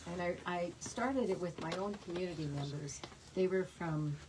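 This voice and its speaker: A quiet woman with a fairly low pitch, amid noticeable background noise. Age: 80s+. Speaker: author. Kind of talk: author talk at bookstore. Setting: bookstore event with audience. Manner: halting, many fillers; too quiet for the back of the room.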